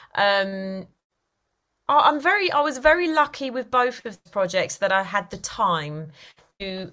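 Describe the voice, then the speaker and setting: A woman speaks with a Cockney accent at a fairly slow pace. Her pitch variation is ordinary. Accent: London (Cockney-type) English. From East London. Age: 40s. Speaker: actor and writer. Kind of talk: casual interview.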